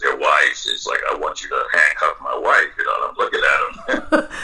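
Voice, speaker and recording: This man uses a raised, projected voice. His pace is moderate. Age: 60s. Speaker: retired police officer and BDSM dominant. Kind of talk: casual interview.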